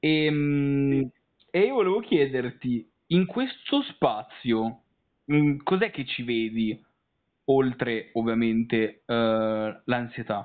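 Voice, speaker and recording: Very slow speech from a man, broken by long, frequent pauses, with ordinary pitch variation. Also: medium pitch for a man. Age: 20s. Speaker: interviewer, literature and philosophy student. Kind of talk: interview. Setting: recorded call. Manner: halting, many repetitions and fillers.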